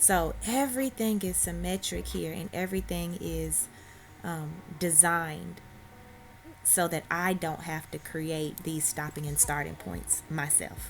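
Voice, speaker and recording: At a fairly slow pace, a woman talks in a Southern US accent. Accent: Southern US country. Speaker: hairstylist. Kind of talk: hair tutorial talk to camera. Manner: casual, friendly.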